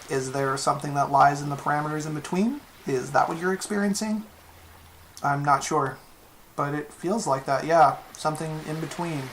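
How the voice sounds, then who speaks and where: A woman's very deep, low pitch with ordinary pitch variation, a moderate pace and noticeable background noise. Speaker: fan fiction writer. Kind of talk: fiction reading.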